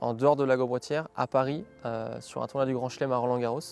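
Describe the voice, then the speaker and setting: Music plays in the background as a man talks at a fairly quick pace. His pitch is medium and his intonation fairly even. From France, Vendée. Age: 30s. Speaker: sports event organizer. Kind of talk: interview testimony. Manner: hesitant with frequent fillers.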